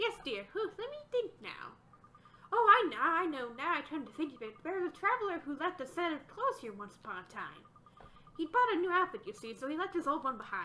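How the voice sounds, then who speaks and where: A woman in a put-on character voice talks fairly quickly in a raised, projected voice, her extremely high pitch swinging very widely. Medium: game stream. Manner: hooting, doting.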